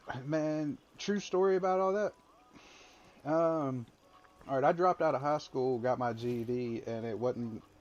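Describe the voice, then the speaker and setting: In a strong Southern US accent, a man with a fairly high pitch and lively intonation speaks with long, frequent pauses. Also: moderate pace. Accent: heavy Southern accent, picked up in Alabama. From Mississippi. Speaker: army veteran and former truck driver. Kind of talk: casual chat.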